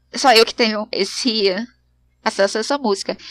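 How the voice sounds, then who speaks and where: A woman's voice, fairly high-pitched with a bright, sharp tone, at a moderate pace with ordinary pitch variation, in a dry, close sound with no echo. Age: 30s. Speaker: podcast host. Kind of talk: casual monologue.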